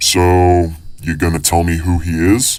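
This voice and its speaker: A man puts on a character voice with a very deep, low pitch. He keeps a moderate pace and fairly even intonation. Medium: audio drama. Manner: calm, dry, knowing.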